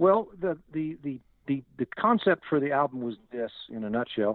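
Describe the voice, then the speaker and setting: A man has an unremarkable speaking voice. He talks at a moderate pace with lively intonation. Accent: American. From US South, Northwest Arkansas. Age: 60s. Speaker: singer-songwriter. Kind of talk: interview.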